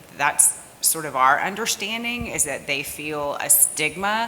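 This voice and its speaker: Against noticeable background noise, a woman talks at a fairly slow pace with lively intonation. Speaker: audience member, suicide prevention program worker. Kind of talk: audience question. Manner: loud.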